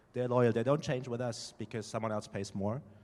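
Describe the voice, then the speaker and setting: The speaker has a German accent. Pitch variation is ordinary. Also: man. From Germany. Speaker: startup founder. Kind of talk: panel discussion.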